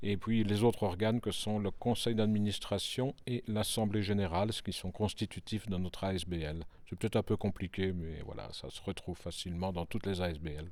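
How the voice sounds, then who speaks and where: A man talks at a fairly quick pace with hardly any pauses and ordinary pitch variation, in a normal speaking voice. The recording is very clean, with a silent background. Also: fairly low pitch for a man. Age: 60s. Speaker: cultural centre director. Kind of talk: interview.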